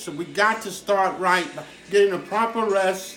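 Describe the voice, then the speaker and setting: Over music in the background and audible room echo, a man projects a raised, high-pitched voice at a moderate pace. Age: 60s. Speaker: chef. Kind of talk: cooking tutorial. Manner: casual.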